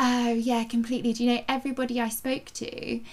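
A woman speaks at a fairly quick pace, her fairly high pitch showing little pitch movement.

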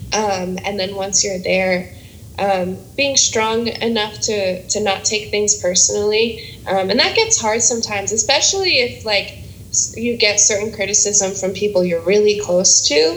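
A woman with an American accent speaks at a medium pitch and a fairly slow pace with fairly even intonation, over noticeable background noise and audible room echo. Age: 20s. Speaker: singer-songwriter. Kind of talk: casual interview.

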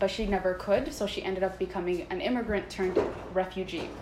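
Someone speaks in a Canadian accent against noticeable background noise. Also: woman. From Canada, Toronto and Vancouver. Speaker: guest. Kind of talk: casual chat.

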